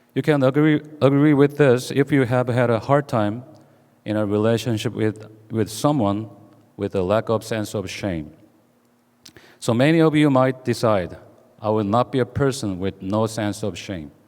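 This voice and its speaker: With a Korean accent, a man talks at a moderate pace in a medium pitch with ordinary pitch variation. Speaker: pastor. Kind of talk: sermon. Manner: halting, with many fillers.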